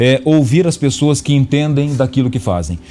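This man has a normal speaking voice and talks at a fairly quick pace. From Paraná, Brazil. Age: 40s. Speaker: politician. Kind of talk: radio interview. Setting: radio studio.

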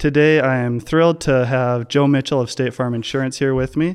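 A man speaks in an ordinary speaking voice at a moderate pace. The background is quiet. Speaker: podcast host, chiropractor. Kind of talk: casual interview chat.

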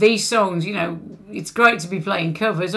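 Noticeable background noise is present. The pitch varies in an ordinary way. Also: woman. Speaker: singer in a band, podcast guest. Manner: chatty, informal.

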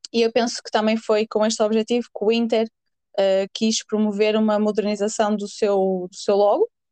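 A woman's fairly high, dark, mellow voice in a northern Portuguese accent at a moderate pace, with monotone, flat intonation, hardly any pauses, big swings in loudness and a dry, close sound with no echo. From northern Portugal. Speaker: podcast co-host. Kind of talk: casual chat.

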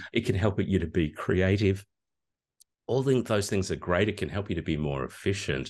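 A man with an Australian accent talks at a moderate pace with ordinary pitch variation and vocal fry. His pitch sits fairly low, and the background is quiet. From Australia, regional Victoria. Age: old. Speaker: communication lecturer. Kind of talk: interview. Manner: hesitant with fillers.

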